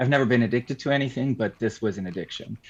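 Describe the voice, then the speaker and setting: A man speaks with a Swiss German accent. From Switzerland. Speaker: crime fiction author. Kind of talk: casual chat.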